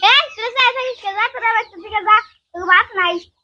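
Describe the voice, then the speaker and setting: Putting on a squeaky character voice, a woman speaks very fast at an extremely high pitch, her loudness swinging widely. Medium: short film. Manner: rustic, plaintive.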